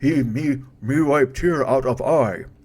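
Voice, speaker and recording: Using a put-on character voice, a man of medium pitch talks at a fairly slow pace. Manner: broken, grunting speech.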